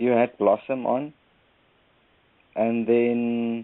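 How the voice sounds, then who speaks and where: Very slow pace from a man with a South African accent, medium in pitch. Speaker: caller. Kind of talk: casual chat. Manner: halting.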